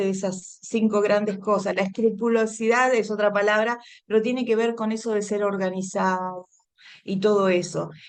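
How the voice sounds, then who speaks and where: This woman has a fairly high pitch and ordinary pitch variation. She speaks at a moderate pace. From Argentina. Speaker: women's ministry speaker. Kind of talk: Bible teaching talk.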